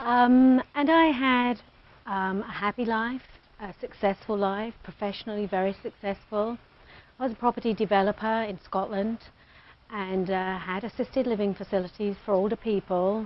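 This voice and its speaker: With a British accent, a woman talks at a moderate pace in a fairly high pitch with ordinary pitch variation. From Britain. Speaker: addiction treatment center founder. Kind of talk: interview.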